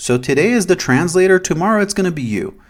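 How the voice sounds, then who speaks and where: With a Portuguese accent, a man speaks at a fairly quick pace in an animated tone with very wide pitch swings. The recording is very clean, with a silent background. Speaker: YouTuber, anime commentator. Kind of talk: opinion commentary monologue. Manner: casual, animated.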